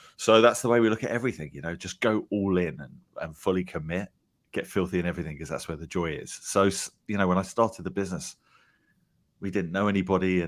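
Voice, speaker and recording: Delivered at a very fast pace with an English accent, the speech has ordinary pitch variation and big swings in loudness in a very clean recording with a silent background. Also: man. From England. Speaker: company founder. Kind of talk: interview.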